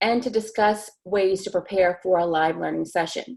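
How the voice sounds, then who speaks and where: This woman has a normal speaking voice at a medium pitch. She talks at a moderate pace. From US South, eastern North Carolina. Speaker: teacher. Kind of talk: webinar presentation.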